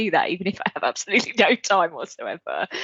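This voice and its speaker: A woman's voice with ordinary pitch variation. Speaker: colleague guest. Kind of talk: casual chat. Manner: quiet, soft-spoken.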